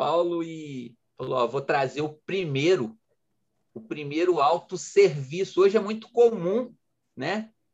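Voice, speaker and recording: Lively intonation at a fairly slow pace. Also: man. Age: 40s. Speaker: entrepreneur and coach. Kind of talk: interview. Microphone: connection glitch.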